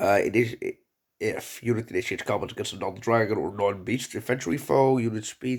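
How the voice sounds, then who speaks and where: Quiet and at a medium pitch, a man speaks at a fairly quick pace with ordinary pitch variation in a very clean recording with a silent background. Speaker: gaming youtuber. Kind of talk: game reaction video. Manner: halting.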